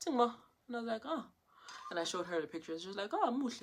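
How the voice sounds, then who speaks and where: An animated woman's voice in a South African accent. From South Africa, Johannesburg. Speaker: content creator. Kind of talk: casual chat.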